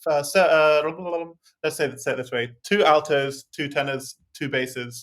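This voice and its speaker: Moderate pace with fairly even intonation. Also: man. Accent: English. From England. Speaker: singer and music theory expert. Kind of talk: interview.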